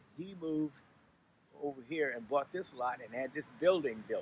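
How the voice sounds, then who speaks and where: A man with an American accent speaks in a fairly high voice with a bright, sharp tone and ordinary pitch variation at a moderate pace, the sound dry with no echo and light background noise. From Berkeley, California. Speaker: interviewee recalling local history. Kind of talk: interview answer. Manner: hesitant, reminiscing. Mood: warm, reminiscing. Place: street.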